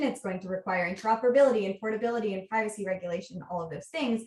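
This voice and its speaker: With an American accent, a woman races along at a very fast pace, her medium pitch showing ordinary variation. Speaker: researcher. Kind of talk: conference talk.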